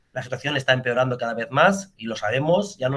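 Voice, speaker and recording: Bright and sharp in tone, a man with a medium pitch speaks at a fairly quick pace with ordinary pitch variation. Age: 40s. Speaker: political party representative; guest. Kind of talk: interview. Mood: persuasive, earnest.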